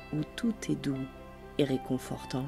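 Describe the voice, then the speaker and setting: Background music accompanies this woman. She talks very slowly. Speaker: meditation guide. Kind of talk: guided sleep meditation. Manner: slow, soft-spoken.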